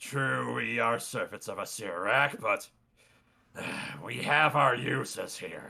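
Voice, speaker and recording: Using a put-on character voice, a man rasps along at a fairly slow pace with long, frequent pauses. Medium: actual play.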